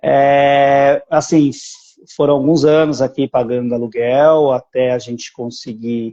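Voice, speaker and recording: With fairly even intonation, a man speaks at a very slow pace. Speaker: citizenship agency owner. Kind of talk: live stream interview.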